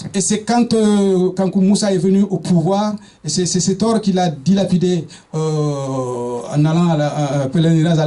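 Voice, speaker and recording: A man's high-pitched speech, with ordinary pitch variation, comes through noticeable background noise. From eastern Senegal. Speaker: speaker on African history. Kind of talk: public talk. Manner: halting, many hesitations and repetitions.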